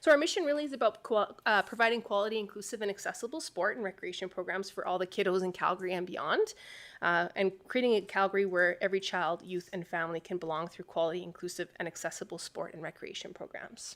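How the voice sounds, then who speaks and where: Speaking very fast with hardly any pauses, a woman holds a medium pitch and ordinary pitch variation on a very clean recording with a silent background. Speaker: director of an adapted sport and recreation organization. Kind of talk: presentation to council.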